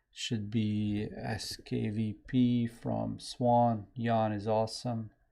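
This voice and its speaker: In a Serbian accent, a man speaks at a very slow pace. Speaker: software developer and live-stream host. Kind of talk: casual live-stream chat. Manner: rambling, scattered.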